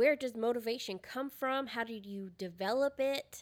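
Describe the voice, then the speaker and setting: Fairly slow and fairly even in intonation, a woman speaks with an ordinary speaking voice. Her pitch is fairly high, and the recording is very clean with a silent background. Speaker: podcast co-host. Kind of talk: casual chat. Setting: recording at a co-host's house.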